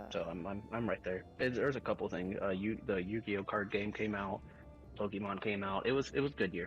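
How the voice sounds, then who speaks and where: Very fast speech from a man with a fairly low pitch and ordinary pitch variation, music playing in the background. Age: 20s. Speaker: gamer. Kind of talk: casual chat.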